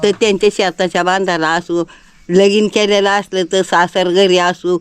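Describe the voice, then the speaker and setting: The woman's voice is at a medium pitch. She delivers her words in a flat, monotone way. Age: 80s+. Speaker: folk remedy adviser. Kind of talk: interview answer.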